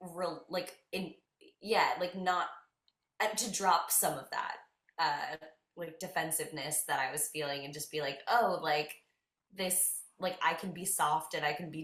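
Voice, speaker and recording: A woman with an American accent talks at a moderate pace, her loudness swinging widely. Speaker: singer in a band. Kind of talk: interview. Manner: casual, many fillers.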